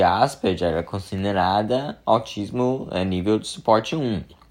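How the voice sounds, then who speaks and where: Against a quiet background, a man with a fairly low voice talks at a fairly slow pace with ordinary pitch variation. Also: hardly any pauses. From Brazil, São Paulo. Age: 20s. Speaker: podcast host. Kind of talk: personal monologue. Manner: halting, many fillers.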